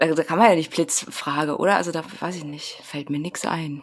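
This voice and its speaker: A woman speaks at a very deep, low pitch. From Saxony, eastern Germany (Grimma). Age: 30s. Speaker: singer-songwriter. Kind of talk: casual chat. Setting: home office, remote.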